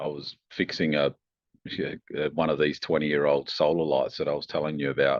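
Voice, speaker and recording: A man speaks with an Australian accent. His voice is very deep and low, with monotone, flat intonation. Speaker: tech company founder and engineer. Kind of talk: podcast interview. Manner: hesitant, many fillers and restarts.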